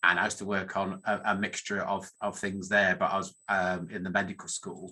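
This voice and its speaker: Fairly quick and monotone, with flat intonation, a man with a northern English accent talks at a fairly low pitch. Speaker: academic statistician. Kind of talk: conference talk. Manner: halting, many fillers.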